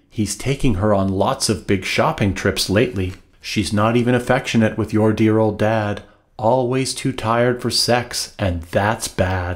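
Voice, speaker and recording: This man's voice sits fairly low, with fairly even intonation and very even loudness. He speaks at a fairly slow pace against a quiet background. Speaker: author. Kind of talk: humorous rhyming book reading. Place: home room.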